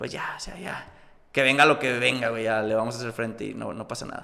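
A man talks at a very fast pace. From northern Mexico, Coahuila (Múzquiz). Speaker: actor and cosplayer. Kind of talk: casual chat.

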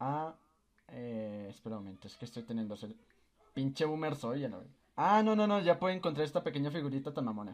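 A man's fairly high voice at a fairly quick pace, with very wide pitch swings and big swings in loudness. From Colombia. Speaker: podcast host. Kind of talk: casual chat. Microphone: echo from the microphone.

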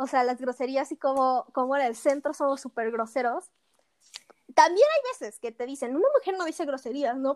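A woman with a high-pitched voice talks at a moderate pace in a dry, close sound with no echo. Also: ordinary pitch variation. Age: 20s. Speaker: podcast co-host, political science student. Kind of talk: casual chat.

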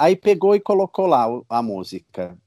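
A man's dark, mellow tone with very wide pitch swings, on a very clean recording with a silent background and a dry, close sound with no echo. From São Paulo, Brazil. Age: 30s. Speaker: superfan. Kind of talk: casual interview chat.

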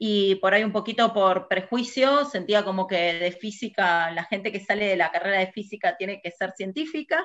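The background is quiet as a woman speaks at a moderate pace. She has ordinary pitch variation and hardly any pauses. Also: medium pitch for a woman. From Argentina, Buenos Aires province (Burzaco, south zone). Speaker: physicist working in satellite industry. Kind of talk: interview. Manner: hesitant with fillers.

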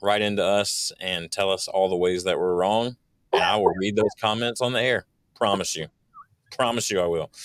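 At a moderate pace, a man talks with ordinary pitch variation in an unremarkable speaking voice. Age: 40s. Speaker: business podcast co-host. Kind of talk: casual chat.

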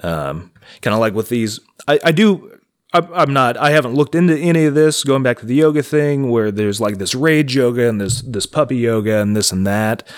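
A man with an unremarkable speaking voice talks at a medium pitch. His pace is fairly quick and his intonation lively. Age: 30s. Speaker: podcast co-host. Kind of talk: casual chat.

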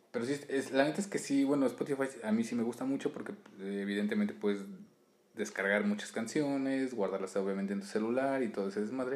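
Amid noticeable background noise, a man talks at a fairly quick pace and medium pitch, with ordinary pitch variation. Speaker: podcast co-host. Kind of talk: casual chat.

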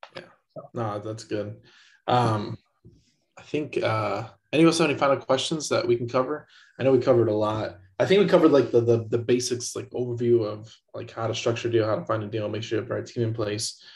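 A man with medium pitch speaks at a fairly quick pace, somewhat breathy, with ordinary pitch variation and big swings in loudness. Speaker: podcast co-host. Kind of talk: casual chat. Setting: video call.

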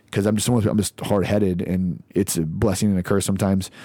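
A man with a Midwestern American accent talks very fast in a monotone, flat intonation on a very clean recording with a silent background. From US Midwest (Lawrence, Kansas). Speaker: army veteran and leadership speaker. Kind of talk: casual chat.

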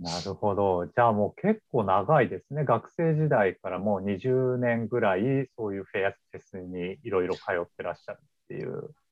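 An unremarkable speaking voice from a fairly low-pitched man, moderate in pace with hardly any pauses and lively intonation. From Yokohama, Kanagawa (Kanto). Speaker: company podcast host, employee. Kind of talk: casual chat. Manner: polite, filler-heavy.

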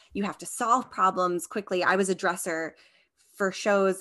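At a medium pitch and moderate pace, a woman speaks in an unremarkable speaking voice with an American accent. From Long Island, New York. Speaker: costume designer, podcast co-host. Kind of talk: casual interview chat.

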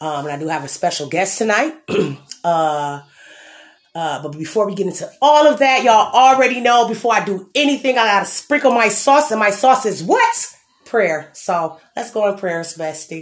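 At a moderate pace, a woman speaks at a medium pitch in an animated tone, her pitch swinging very widely. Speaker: podcast host. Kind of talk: casual chat.

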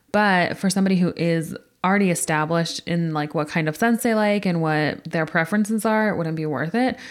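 In a normal speaking voice, a woman with an American accent talks at a fairly quick pace, her pitch fairly low with ordinary variation, on a very clean recording with a silent background. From California. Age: 30s. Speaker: podcast co-host, content creator. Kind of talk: casual chat.

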